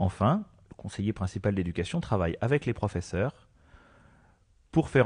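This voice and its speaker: The voice is somewhat breathy, with a dark, mellow tone. It moves at a fairly quick pace. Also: man. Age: 40s. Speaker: school education counsellor. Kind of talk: radio interview by children.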